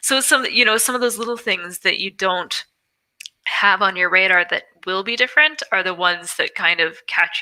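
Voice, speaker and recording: A woman talks at a moderate pace in a medium pitch. Her intonation is lively. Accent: American. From Wyoming, US. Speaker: podcast guest, expat in Ireland. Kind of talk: casual interview chat.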